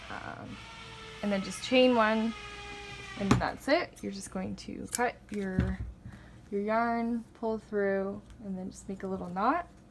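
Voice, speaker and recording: A woman speaks at a very slow pace, with long, frequent pauses and big swings in loudness. Noticeable background noise is present. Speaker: crochet tutorial maker. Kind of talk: tutorial. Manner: casual, filler-heavy.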